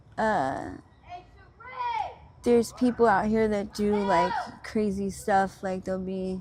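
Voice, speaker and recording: A woman with an American accent talks at a very slow pace, leaving long, frequent pauses. Her pitch is medium, her intonation fairly even, and there is noticeable background noise. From Pennsylvania, Montgomery County. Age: 30s. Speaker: interviewee, person living on the street. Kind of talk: interview. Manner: halting, many fillers.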